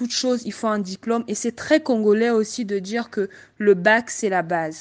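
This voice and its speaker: Over a quiet background, a woman with an unremarkable speaking voice talks at a fairly slow pace and fairly high pitch, with ordinary pitch variation. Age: 20s. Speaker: information systems engineer. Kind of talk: group discussion.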